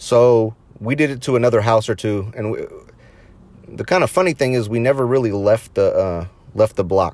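Ordinary pitch variation runs through a plain, everyday voice. The delivery keeps a moderate pace. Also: man, medium pitch for a man. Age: 30s. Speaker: podcast host. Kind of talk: casual monologue.

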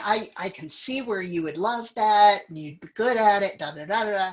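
A woman at medium pitch with a Midwestern American accent, speaking at a fairly slow pace. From US Midwest, central Illinois. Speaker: guest sharing life story. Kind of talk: casual chat.

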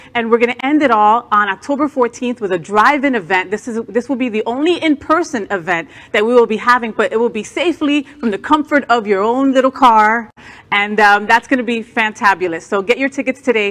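A woman speaks at a fairly quick pace in a normal speaking voice, her fairly high pitch showing ordinary variation. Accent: American. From New Jersey. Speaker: news co-anchor and drag performer. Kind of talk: news reading.

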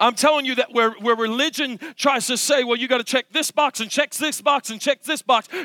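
An extremely high-pitched man speaks in a raised, projected voice with a bright, sharp tone. His delivery is animated and passionate, and the sound is dry and close with no echo. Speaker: preacher. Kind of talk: sermon. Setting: church. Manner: animated, passionate preaching; emphatic, building to a crescendo.

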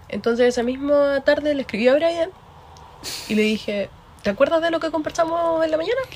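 A woman talks at a fairly quick pace with a high pitch and lively intonation, leaving long, frequent pauses. Noticeable background noise runs under her voice. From Concepción, Chile. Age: 20s. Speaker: podcast co-host. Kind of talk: casual chat.

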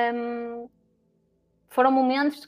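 A woman speaks in a high-pitched voice. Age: 20s. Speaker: HR professional, psychologist. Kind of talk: casual chat.

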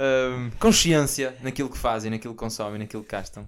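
This man speaks at a fairly quick pace. His pitch is medium, with ordinary variation. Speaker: podcast host. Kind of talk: casual chat. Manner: animated.

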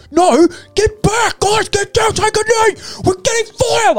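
Shouting in a put-on character voice, the speaker hits an extremely high pitch at a moderate pace. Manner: screaming, commanding.

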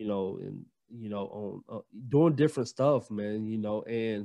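A man with a Southern US accent against a quiet background. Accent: Southern US (Georgia). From US South, Gainesville, Georgia. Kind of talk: casual interview chat.

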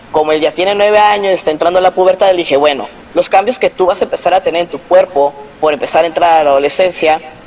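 A man speaks at a high pitch with ordinary pitch variation. Noticeable background noise can be heard. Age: 30s. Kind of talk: interview.

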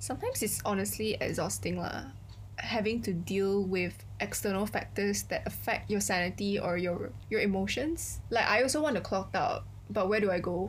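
In a room with audible echo, a woman speaks at a moderate pace with very even loudness. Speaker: podcast co-host. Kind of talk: casual chat.

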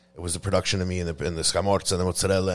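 The voice carries an American accent on a very clean recording with a silent background. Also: man. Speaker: podcast host and pizza maker. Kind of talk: casual interview chat. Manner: casual, unscripted.

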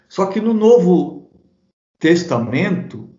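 In a recording with audible room echo, a man speaks very slowly at a high pitch with ordinary variation. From southern Brazil, Santa Catarina (Blumenau). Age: 50s. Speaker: pastor and Bible commentator. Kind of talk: interview about theology. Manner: hesitant, with frequent repetitions.

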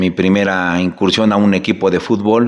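In an unremarkable speaking voice, a man talks at a fairly slow pace and fairly low pitch with fairly even intonation. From Mexico, Zacatelco, Tlaxcala. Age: 40s. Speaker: municipal political candidate, accountant. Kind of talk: interview. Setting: studio.

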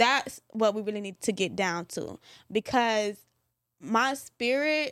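The recording of this woman is very clean, with a silent background and a dry, close sound without echo. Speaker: podcast co-host. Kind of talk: casual discussion.

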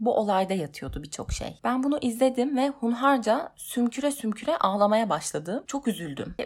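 A woman's fairly high, somewhat breathy voice with very wide pitch swings at a moderate pace, on a very clean recording with a silent background. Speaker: podcaster working in television. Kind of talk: personal monologue podcast.

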